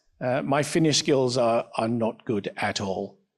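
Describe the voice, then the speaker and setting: A man talks with an English accent. His pitch sits in the medium range. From England. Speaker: student entrepreneur. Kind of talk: panel discussion. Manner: halting, many fillers.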